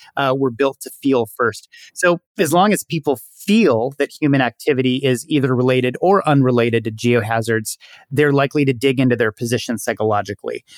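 A man speaks in a plain, everyday voice at a medium pitch and a fairly quick pace, with ordinary pitch variation. The recording is very clean with a silent background, its sound dry and close with no echo. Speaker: sociology professor. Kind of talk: interview.

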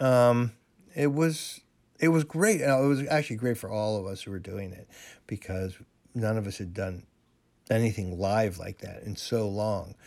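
On a very clean recording with a silent background, a man with a plain, everyday voice speaks at medium pitch, with ordinary pitch variation and a moderate pace. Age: 60s. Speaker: juggler and comedian. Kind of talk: casual chat.

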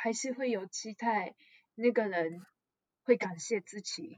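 A woman with a Japanese accent, fairly high in pitch, with ordinary pitch variation and a very slow pace. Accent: Japanese-accented Mandarin. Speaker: guest. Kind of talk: casual podcast interview. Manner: halting, searching for words.

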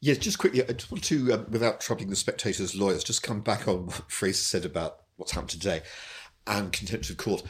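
A man speaks at a very fast pace with lively intonation and a fairly low pitch, somewhat breathy. The recording is very clean, with a silent background. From England. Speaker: newspaper editor and former MP. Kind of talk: casual chat.

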